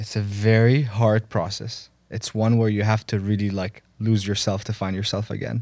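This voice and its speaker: A man with an Arabic accent talks at a moderate pace with hardly any pauses, his fairly low voice flat and monotone. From Egypt. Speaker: podcast co-host. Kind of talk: casual chat.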